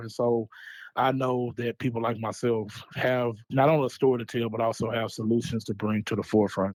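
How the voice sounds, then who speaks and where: Speaking at a fairly quick pace, a man with an American accent keeps a medium pitch and flat, monotone intonation. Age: 30s. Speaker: social entrepreneur, mental health advocate. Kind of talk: interview.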